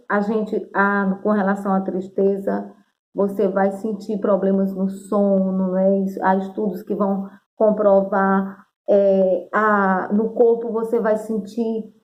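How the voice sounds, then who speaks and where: A woman speaks very slowly at a medium pitch. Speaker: teacher. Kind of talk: video lesson.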